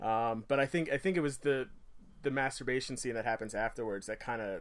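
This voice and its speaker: A man with an unremarkable speaking voice talks fairly quickly at a medium pitch. His pitch varies in an ordinary way. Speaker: guest first-time. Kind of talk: casual chat. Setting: video call.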